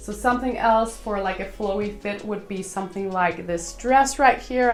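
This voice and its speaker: Pitched fairly high, a woman talks at a moderate pace with ordinary pitch variation, while audible room echo and background music fill the recording. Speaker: fashion YouTuber. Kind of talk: tutorial.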